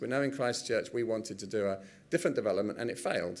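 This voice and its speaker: With audible room echo, a man speaks at a very fast pace in an English accent. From England. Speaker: professor. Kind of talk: conference presentation.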